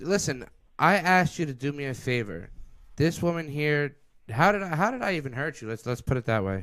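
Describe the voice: Speaking at a fairly quick pace, a man uses a fairly high pitch, a fairly bright tone and big pitch swings.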